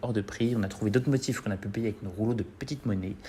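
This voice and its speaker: Here is a man with a fairly low voice. His pitch moves in an ordinary way. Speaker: drag queen. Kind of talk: humorous narration.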